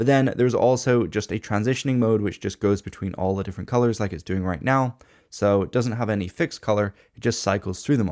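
Against a quiet background, a man with a fairly low pitch speaks very fast with ordinary pitch variation. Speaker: tech reviewer. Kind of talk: product review commentary. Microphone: studio mic.

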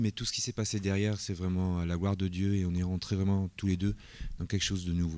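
A man's very deep, low voice, monotone and flat, at a fairly quick pace. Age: 50s. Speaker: church elder in training. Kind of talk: testimony. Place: church. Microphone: handheld.

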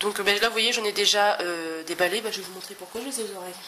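Noticeable background noise accompanies a woman at medium pitch. She talks at a fairly quick pace with ordinary pitch variation. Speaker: scrapbooking vlogger. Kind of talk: casual chat. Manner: chatty, hesitant.

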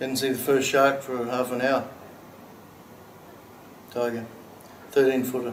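With an Australian accent, a man speaks at a moderate pace. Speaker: actor. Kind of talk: dramatic monologue, film scene demo. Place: studio.

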